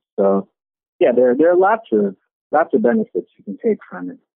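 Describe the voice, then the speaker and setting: Very wide pitch swings from a man at a moderate pace. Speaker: entrepreneur. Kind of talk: interview.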